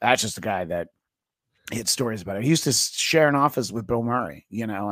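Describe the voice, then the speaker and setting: A man talks at a fairly quick pace in a fairly low pitch, his intonation lively. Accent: American. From New York State (Greenwood Lake, Orange County). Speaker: podcaster and comedy writer. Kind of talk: casual interview chat. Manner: hesitant, many fillers (uh, you know).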